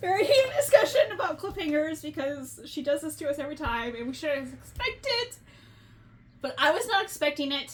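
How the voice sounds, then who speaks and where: This speaker moves at a fairly quick pace, with very wide swings in pitch. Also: woman, high pitch for a woman. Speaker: book podcast co-host. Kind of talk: casual chat. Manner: animated, loud at times.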